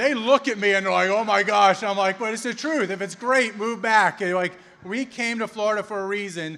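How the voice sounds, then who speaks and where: This man talks at a very fast pace in a raised, projected voice, high-pitched for a man, with a bright, sharp tone and ordinary pitch variation. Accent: Philadelphia. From Philadelphia, Pennsylvania. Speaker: law enforcement officer and political speaker. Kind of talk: campaign rally speech.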